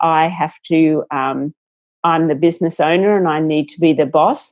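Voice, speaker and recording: Here is a woman with an Australian accent. Her pitch is fairly low and her pace is moderate. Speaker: entrepreneur. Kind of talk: interview.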